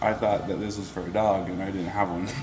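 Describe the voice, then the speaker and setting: Quiet and mumbling, a man talks at a very fast pace with a fairly low pitch, with audible room echo and noticeable background noise. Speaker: podcast host. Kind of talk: casual chat. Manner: quiet, mumbles in conversation.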